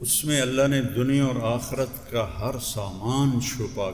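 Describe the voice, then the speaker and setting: A man speaks at medium pitch. There is noticeable background noise. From Pakistan. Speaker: Islamic scholar and preacher. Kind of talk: religious sermon. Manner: emotional.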